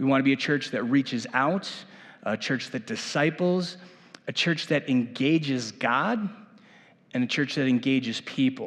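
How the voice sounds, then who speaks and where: Here is a man with a plain, everyday voice and a fairly high pitch. He talks at a moderate pace with ordinary pitch variation. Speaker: church leader. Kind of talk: presentation to a church meeting. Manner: casual, with many fillers.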